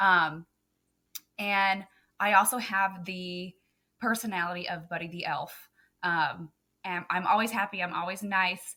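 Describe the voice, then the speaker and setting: Pausing long and often, a woman with a slight Southern US accent speaks at a fairly slow pace and medium pitch, with fairly even intonation and a bright, sharp tone. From Texas. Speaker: photographer and business coach. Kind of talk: podcast interview.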